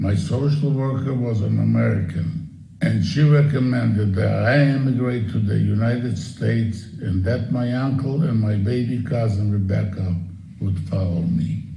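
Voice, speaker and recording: A man's fairly low voice with ordinary pitch variation at a moderate pace, amid audible room echo and noticeable background noise. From Ukraine. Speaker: Holocaust survivor. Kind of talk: testimony.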